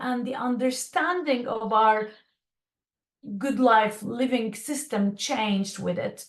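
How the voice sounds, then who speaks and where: Speaking very slowly, a woman uses a high pitch. Her pitch variation is ordinary. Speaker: design consultant and speaker. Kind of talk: online presentation. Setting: video call. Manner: hesitant with fillers and repeats.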